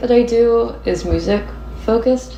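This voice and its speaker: Noticeable background noise and audible room echo. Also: woman. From Nashville, Tennessee. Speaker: graphic designer. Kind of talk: casual chat. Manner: casual, frequent fillers like 'like'.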